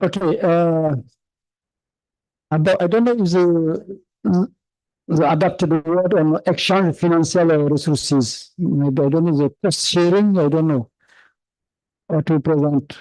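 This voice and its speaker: A man with a French accent speaks at a fairly slow pace, in a high pitch with a dark, mellow tone and ordinary pitch variation. His loudness stays very even, and he takes long, frequent pauses. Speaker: professor. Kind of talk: conference discussion. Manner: halting.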